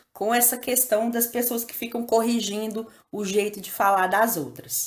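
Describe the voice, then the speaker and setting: Her intonation stays fairly even. A woman speaks at a fairly high pitch with a Minas Gerais accent. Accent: Minas Gerais (mineiro), strong rolled R. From Brazil, Minas Gerais. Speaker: school teacher. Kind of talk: lesson / tutorial. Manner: casual, conversational.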